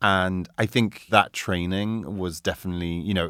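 On a very clean recording with a silent background, a man with a northern English accent speaks at a very deep, low pitch with fairly even intonation at a moderate pace. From northern England (Doncaster, Carlisle). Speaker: fashion creative director. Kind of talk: interview.

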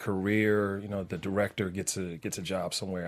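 A man speaks at a moderate pace in a monotone, flat intonation on a very clean recording with a silent background. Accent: American. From Washington D.C. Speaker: actor. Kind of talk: interview. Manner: halting, many fillers.

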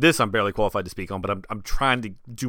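In a very clean recording with a silent background, a man with an ordinary speaking voice talks fairly quickly at a fairly low pitch. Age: 30s. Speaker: sports podcast host. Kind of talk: solo podcast commentary.

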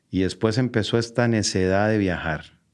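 Fairly slow, fairly even speech from a man against a quiet background. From Costa Rica. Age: 40s. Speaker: entrepreneur and marketer. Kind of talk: interview.

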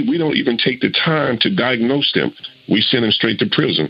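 Noticeable background noise sits under a man speaking at a fairly quick pace. His medium-pitched voice has lively intonation. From Arkansas. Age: 60s. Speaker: youth mentor. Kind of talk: panel discussion.

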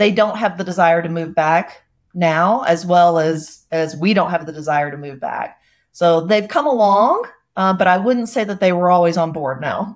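With an American accent, a woman uses a normal speaking voice at a fairly low pitch, moderate pace and ordinary pitch variation. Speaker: investor. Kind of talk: casual chat.

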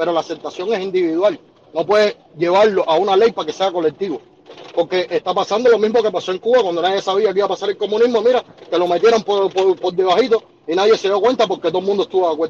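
A man talks at a very fast pace in a high voice. Noticeable background noise runs behind him. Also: ordinary pitch variation. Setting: phone call.

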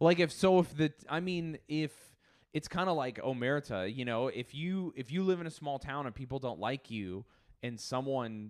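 Recorded very cleanly with a silent background, a man with an American accent has an ordinary speaking voice, lively intonation and a moderate pace. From rural Utah, Millard County. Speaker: stand-up comedian. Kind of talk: casual chat.

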